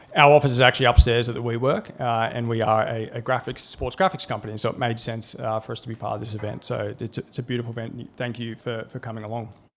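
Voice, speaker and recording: Talking very fast at a medium pitch, a man keeps a fairly even intonation. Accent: Australian. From Australia. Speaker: tech company CEO. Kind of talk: conference presentation.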